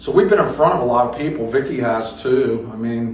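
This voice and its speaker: Speaking at a moderate pace, a man talks with an American accent. Audible room echo and noticeable background noise fill the recording. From Philadelphia, Pennsylvania. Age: 60s. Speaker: metal drummer. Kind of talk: radio interview. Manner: casual, halting with fillers.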